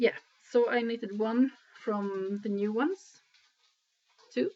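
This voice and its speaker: Speaking at a fairly slow pace, a woman with a Swedish accent uses a fairly high pitch and ordinary pitch variation. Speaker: knitting podcaster. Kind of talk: casual video podcast talk. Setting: at home in living room. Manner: hesitant, many filler sounds.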